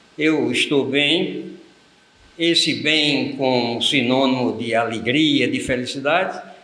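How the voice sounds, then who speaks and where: A man at a very slow pace amid audible room echo and noticeable background noise. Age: 90s. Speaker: freemason elder, guest interviewee. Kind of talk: interview. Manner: formal.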